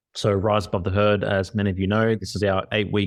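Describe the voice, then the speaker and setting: This speaker has an Australian accent. The pace is moderate against a quiet background. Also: man. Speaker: podcast co-host. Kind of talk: podcast intro.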